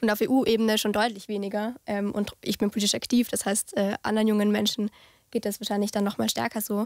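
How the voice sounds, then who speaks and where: Delivered at a very fast pace, the speech is monotone and flat, with very even loudness, a dry sound with no echo and a quiet background. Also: woman, fairly high pitch for a woman. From Austria, Vorarlberg (Bregenz); Vorarlberg, Austria. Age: 20s. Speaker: youth politician. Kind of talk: discussion. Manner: hesitant with many fillers. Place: hall. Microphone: studio mic.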